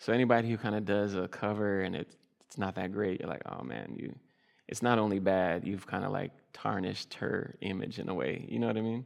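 A man speaks with an unremarkable speaking voice, fairly low in pitch. His pace is fairly quick and his intonation lively. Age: 30s. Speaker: jazz singer. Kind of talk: interview on stage. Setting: stage with audience.

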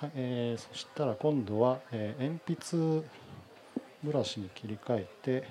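At a fairly slow pace, a man talks with a medium pitch, ordinary pitch variation, and big swings in loudness. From Hamamatsu, Shizuoka, Japan. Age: 40s. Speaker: painter. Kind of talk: live demonstration talk. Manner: halting, many fillers.

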